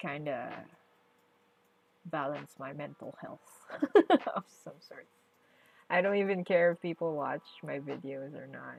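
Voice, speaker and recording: The speaker talks at a fairly slow pace with vocal fry, ordinary pitch variation, big swings in loudness and long, frequent pauses. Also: woman, very deep, low pitch for a woman. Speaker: streamer and artist. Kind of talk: casual livestream chat while drawing.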